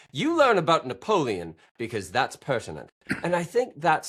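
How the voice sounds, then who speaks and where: A man with an American accent speaks at a moderate pace, his pitch swinging very widely with vocal fry, on a very clean recording against a silent background. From central Wisconsin. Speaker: podcast guest, money mindset commentator. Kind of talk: casual interview chat.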